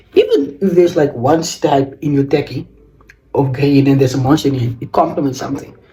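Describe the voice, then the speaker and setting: Fairly high in pitch, a man speaks with a South African accent. His pace is fairly quick and his intonation fairly even. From South Africa, George in the Western Cape. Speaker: fashion vlogger. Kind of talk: casual fashion tutorial vlog. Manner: halting.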